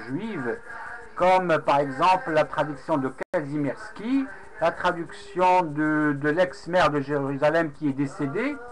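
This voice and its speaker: A man speaks at a very slow pace, his pitch fairly high with ordinary variation. Noticeable background noise runs throughout. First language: Arabic (speaking French). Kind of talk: casual webcam monologue recounting a debate. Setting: webcam recording. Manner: halting, many hesitations.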